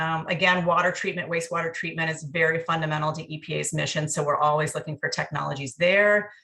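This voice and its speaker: A bright, sharp voice races along at a very fast pace with hardly any pauses, its intonation monotone and flat. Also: woman, fairly low pitch for a woman. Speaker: federal agency program manager. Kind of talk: workshop presentation.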